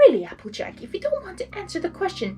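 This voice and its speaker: A woman's put-on character voice, extremely high in pitch and very fast, over clear background noise. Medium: read story. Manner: prim, dramatic.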